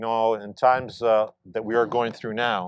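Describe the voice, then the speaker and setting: Moderately paced, a man speaks with an ordinary speaking voice at a medium pitch. The recording is very clean, with a silent background. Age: 60s. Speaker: mayor. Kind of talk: ceremonial speech. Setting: outdoors.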